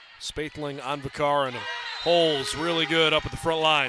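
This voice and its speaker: The tone is animated and excited, delivered at a moderate pace. The sound is dry with no echo, set against noticeable background noise. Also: man. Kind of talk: live sports commentary. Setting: arena, broadcast booth. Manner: animated, excited at big points.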